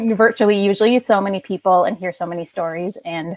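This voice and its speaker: Here is a woman with a Minnesotan accent and medium pitch. She talks at a fairly quick pace with fairly even intonation. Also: dry, close sound with no echo. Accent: Minnesota. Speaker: OCD advocate and blogger. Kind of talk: casual chat. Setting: live video stream.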